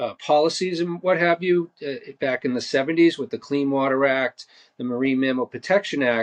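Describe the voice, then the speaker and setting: This man has a Boston accent and a fairly high pitch. The sound is dry and close, with no echo. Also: ordinary pitch variation, moderate pace. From Boston, Massachusetts. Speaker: marine conservation nonprofit director. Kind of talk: podcast interview. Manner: halting, many fillers.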